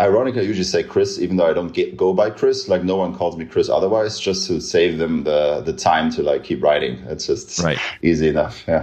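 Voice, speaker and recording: A man with a German accent speaks at a very fast pace with hardly any pauses. Noticeable background noise runs underneath. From Eastern Germany, rural village. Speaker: media executive. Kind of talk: interview conversation. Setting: video call.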